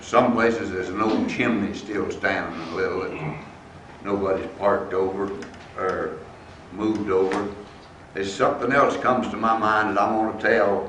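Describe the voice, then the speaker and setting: This man has a Southern Appalachian accent and a fairly low pitch, with fairly even intonation at a moderate pace. The recording carries audible room echo and noticeable background noise. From US South, East Tennessee. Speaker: former resident giving a history talk. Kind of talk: public talk, personal reminiscence. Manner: halting, with frequent fillers.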